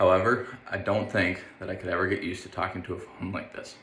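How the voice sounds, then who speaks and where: A man with a fairly low voice talks at a fairly quick pace with fairly even intonation. Noticeable background noise and audible room echo surround him. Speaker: university student. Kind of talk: self-evaluation monologue.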